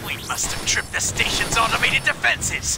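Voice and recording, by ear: A man uses a put-on character voice with an extremely high pitch, big pitch swings and vocal fry at a moderate pace. Clear music plays in the background.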